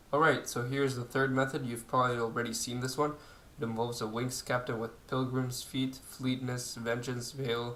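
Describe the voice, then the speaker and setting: A man with a non-native accent talks at a moderate pace. Audible room echo surrounds his voice. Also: medium pitch for a man. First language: not English. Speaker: video game youtuber. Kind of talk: gameplay tutorial. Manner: hesitant, many fillers.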